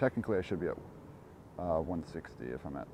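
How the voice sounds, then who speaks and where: A man's very deep, low voice with vocal fry. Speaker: launch livestreamer. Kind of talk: live commentary. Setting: outdoors near condos. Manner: quiet, not talking loud.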